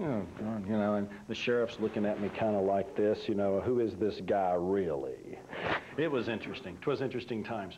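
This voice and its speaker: Over noticeable background noise, a man with an American accent talks at a moderate pace in a fairly low pitch with ordinary pitch variation. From Texas. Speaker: religious organization founder. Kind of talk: talk to an audience. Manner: casual, anecdotal storytelling.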